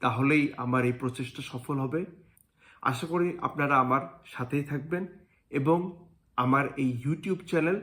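A plain, everyday voice from a man, fairly high in pitch with ordinary pitch variation, in a very clean recording with a silent background. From Bangladesh. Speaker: engineer and YouTuber. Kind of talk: channel introduction, prepared monologue. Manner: formal.

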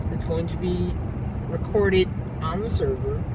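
Loud background noise accompanies a man speaking at a moderate pace. The sound itself is dry, with no echo. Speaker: vlogger. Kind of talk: casual vlog chat. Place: car. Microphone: phone near.

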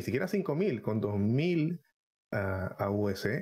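The background is quiet. A man talks with lively intonation. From Panama. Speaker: gaming content creator. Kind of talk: live-streamed podcast chat. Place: home room. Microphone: headset.

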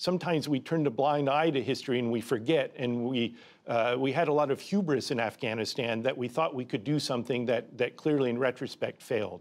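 A man talks at a fairly quick pace with hardly any pauses and ordinary pitch variation. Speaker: interviewee. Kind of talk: interview answer. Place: studio. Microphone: lapel.

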